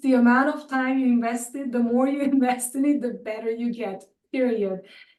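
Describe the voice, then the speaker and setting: High-pitched woman with a non-native accent, fairly even intonation and a moderate pace. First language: not English. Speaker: animation department chair. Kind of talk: webinar Q&A.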